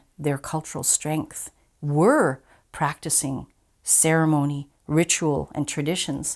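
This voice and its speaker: With a Canadian accent, a woman talks at a fairly slow pace in a very deep, low pitch, on a very clean recording with a silent background. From northern Ontario, Canada. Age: 60s. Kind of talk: personal testimony.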